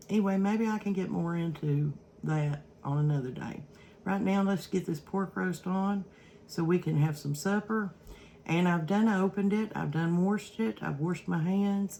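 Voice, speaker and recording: With an Eastern Kentucky accent, a woman talks at a moderate pace in a medium pitch, her pitch varying in an ordinary way. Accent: Eastern Kentucky Appalachian. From Eastern Kentucky, Prestonsburg. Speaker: cooking vlogger. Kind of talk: casual cooking vlog talk. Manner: halting, many fillers.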